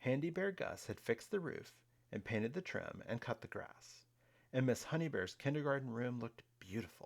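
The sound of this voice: A reading voice that sounds unforced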